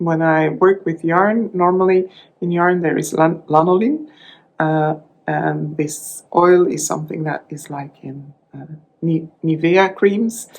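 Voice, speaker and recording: Speaking at a very slow pace in a Flemish Belgian accent, a woman keeps a fairly even intonation at a fairly low pitch. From Belgium (Dutch-speaking). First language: Dutch. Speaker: crafting vlogger. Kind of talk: casual vlog talk. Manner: halting, many fillers and restarts.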